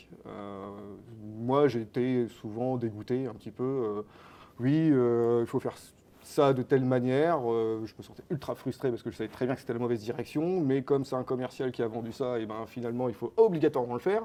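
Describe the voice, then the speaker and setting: This man has a dark, mellow tone and a medium pitch, talking at a fairly quick pace with fairly even intonation. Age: 30s. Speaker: company co-founder. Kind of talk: interview. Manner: hesitant, many fillers.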